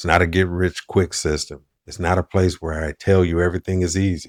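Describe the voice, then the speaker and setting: A man with a very deep, low voice speaks at a moderate pace in a monotone, flat way. The recording is very clean, with a silent background and a dry, close sound with no echo. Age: 60s. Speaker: online business coach. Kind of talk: direct-to-camera monologue. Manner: earnest.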